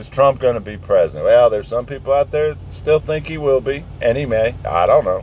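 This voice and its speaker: Noticeable background noise sits behind a man speaking at a fairly quick pace with an American accent. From southern Indiana, US. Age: 60s. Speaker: truck driver vlogger. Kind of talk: casual rant. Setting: outdoors, parked truck. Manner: animated.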